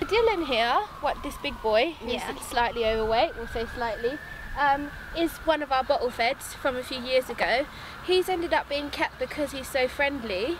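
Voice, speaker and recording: A woman at a moderate pace, high in pitch, in a dry sound with no echo and noticeable background noise. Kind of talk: interview answer. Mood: warm, fond. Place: farm machine.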